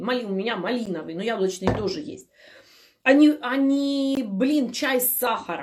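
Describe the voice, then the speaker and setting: This woman has a fairly high pitch and an animated tone. Her intonation is lively, though her pace is fairly slow. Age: 40s. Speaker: health blogger. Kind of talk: live stream Q&A.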